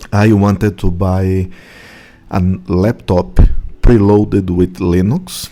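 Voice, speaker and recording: At a very slow pace, a man talks in a very deep, low pitch with fairly even intonation. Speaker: tech video blogger. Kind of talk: casual vlog review. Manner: halting, many fillers.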